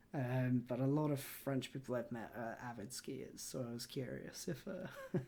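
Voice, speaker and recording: With a British accent, the speaker keeps a moderate pace and hardly any pauses. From UK. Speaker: podcast host. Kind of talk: casual interview chat.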